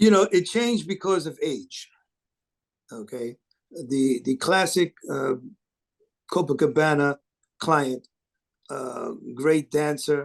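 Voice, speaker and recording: A man reads at a very slow pace in a fairly high pitch, with long, frequent pauses. The sound is dry and close, with no echo. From New York City, South Bronx. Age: 60s. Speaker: live sound engineer. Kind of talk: interview. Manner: halting, with many fillers and repeats.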